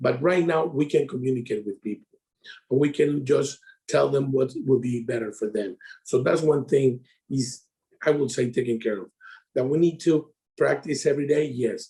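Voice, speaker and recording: The voice has a dark, mellow tone, is somewhat breathy and is broken by long, frequent pauses. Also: man, medium pitch for a man, ordinary pitch variation, moderate pace. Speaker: insurance sales advisor. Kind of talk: casual interview chat. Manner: halting.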